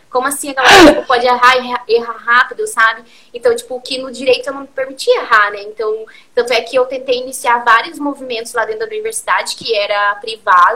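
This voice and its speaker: A woman talks fairly quickly at a high pitch with fairly even intonation and big swings in loudness. Background noise is noticeable. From Curitiba, southern Brazil. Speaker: community-building entrepreneur. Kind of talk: interview on a live stream.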